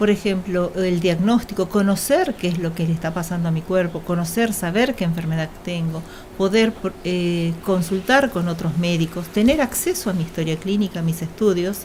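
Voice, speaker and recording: A woman with an Argentine accent and a fairly low pitch speaks at a moderate pace amid noticeable background noise. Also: ordinary pitch variation, hardly any pauses. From Argentina. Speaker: doctor on hospital bioethics committee. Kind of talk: radio interview.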